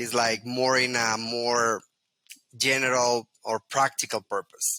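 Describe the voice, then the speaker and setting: A man's medium-pitched voice with a Spanish accent, bright and sharp in tone, very slow and monotone, in a dry, close sound with no echo. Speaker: Lean Six Sigma trainer. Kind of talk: interview. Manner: halting.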